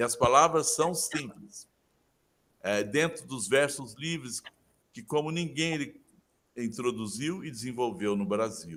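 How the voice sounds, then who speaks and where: A man talks at a fairly slow pace with a fairly high pitch and lively intonation. His loudness swings widely, and he makes long, frequent pauses. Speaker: literature professor. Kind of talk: interview.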